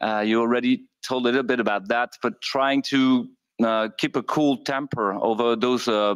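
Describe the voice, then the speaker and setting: Medium pitch from a man at a moderate pace, fairly even intonation, and a dry, close sound with no echo over a quiet background. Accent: French. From France. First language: French. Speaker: intensive care doctor. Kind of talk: conference presentation. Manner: halting, many fillers.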